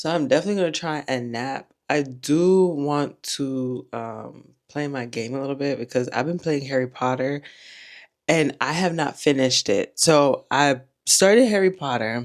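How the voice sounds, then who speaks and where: At a moderate pace, a woman talks in a very deep, low pitch with ordinary pitch variation. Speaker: vlogger. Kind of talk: casual chat. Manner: soft-spoken. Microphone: recording without external mic.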